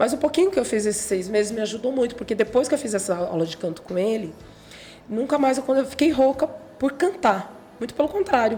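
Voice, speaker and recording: A high-pitched woman's voice at a fairly quick pace, with very wide pitch swings and noticeable background noise. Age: 40s. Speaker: gospel singer. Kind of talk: interview.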